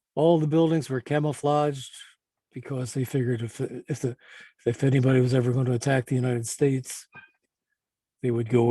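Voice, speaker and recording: A man with an American accent speaks at a moderate pace in a medium pitch, his tone dark and mellow and somewhat breathy. His intonation stays fairly even, broken by long, frequent pauses. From Baltimore, Maryland. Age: 80s+. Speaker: retired man narrating a video tour. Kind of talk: casual narration over a flyover video. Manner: halting, with many repetitions.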